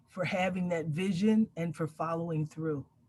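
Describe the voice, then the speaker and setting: A woman's fairly low-pitched voice, an ordinary speaking voice, at a fairly slow pace with fairly even intonation. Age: 60s. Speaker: community elder and mentor. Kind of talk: panel discussion.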